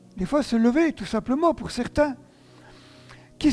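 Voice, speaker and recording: A man's extremely high-pitched voice comes through noticeable background noise. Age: 60s. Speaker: pastor. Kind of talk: sermon.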